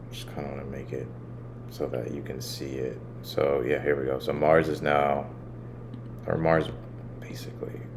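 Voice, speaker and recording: With audible room echo and noticeable background noise, a man speaks at a moderate pace in a very deep, low voice, his pitch swinging very widely and long pauses coming often. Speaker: astrologer, channel host. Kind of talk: astrology forecast with screen walkthrough. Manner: casual, halting at times.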